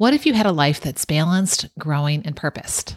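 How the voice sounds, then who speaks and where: Fairly quick and with lively intonation, a woman speaks in an ordinary speaking voice on a very clean recording with a silent background. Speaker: podcast host. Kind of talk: interview. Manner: warm, upbeat.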